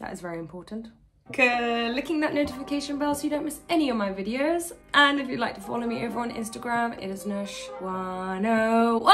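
Over faint background music, a woman talks at a moderate pace. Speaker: reaction video creator. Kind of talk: casual vlog chat. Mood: cheerful, excited. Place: home room.

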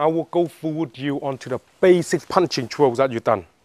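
A man at a moderate pace with ordinary pitch variation, dry sound with no echo, and a quiet background. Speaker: martial arts instructor. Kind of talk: tutorial. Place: garden.

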